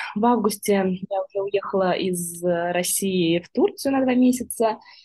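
Her voice comes across as somewhat breathy. The woman talks at a medium pitch. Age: 30s. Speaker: volunteer coordinator. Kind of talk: casual chat.

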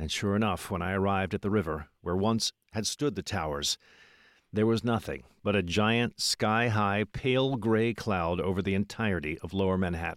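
Against a silent background on a very clean recording, with a dry, close sound and no echo, a man talks at a moderate pace and fairly low pitch. He has a plain, everyday voice with ordinary pitch variation. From Philadelphia. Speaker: history podcast host. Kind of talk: interview; scripted narration.

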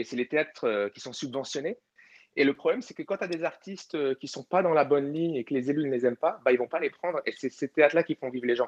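Speaking at a very fast pace, a man with a fairly high pitch and ordinary pitch variation comes across with a dry, close sound with no echo. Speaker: comedian. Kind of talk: casual chat. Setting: online audio room.

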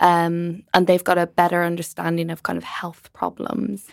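On a very clean recording with a silent background, a woman with a fairly low pitch talks at a moderate pace. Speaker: medical doctor and nutritionist. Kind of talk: casual interview.

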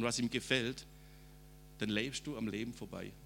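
Speaking at a fairly slow pace, a man has a bright, sharp tone with vocal fry. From Swabia, southern Germany (Rems valley). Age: 50s. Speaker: preacher. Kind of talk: testimony.

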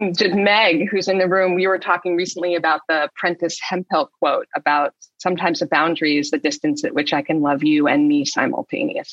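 With a fairly bright tone and low pitch, a woman talks at a fairly quick pace with few pauses and fairly even intonation, in a dry, close sound with no echo.

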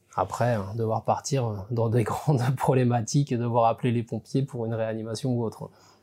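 On a very clean recording with a silent background, a man speaks with a dark, mellow tone. His pace is moderate and his intonation fairly even. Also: medium pitch for a man. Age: 40s. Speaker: agricultural insurance inspector. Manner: halting, with repeated words and fillers.

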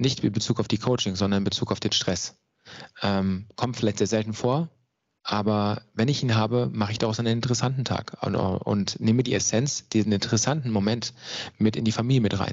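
A man with an unremarkable speaking voice, fairly low pitch, fairly even intonation and very even loudness. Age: 30s. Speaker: mental coach. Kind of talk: interview.

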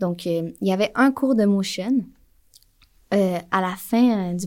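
Heard on a very clean recording with a silent background, the speaker talks with a Quebec accent at a fairly slow pace and ordinary pitch variation. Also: woman. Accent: Québécois French. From Quebec, Montreal. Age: 20s. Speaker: motion designer. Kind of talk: casual interview. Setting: in person at a festival.

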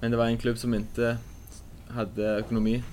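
At a very fast pace, a man speaks at a medium pitch with monotone, flat intonation. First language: Norwegian (speaking Swedish). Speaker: football player. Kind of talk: interview.

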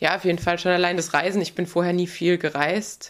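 This woman's voice sits fairly low, captured in a very clean recording with a silent background. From southwestern Germany (Baden-Württemberg). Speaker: retired pro road cyclist. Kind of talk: interview. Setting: studio.

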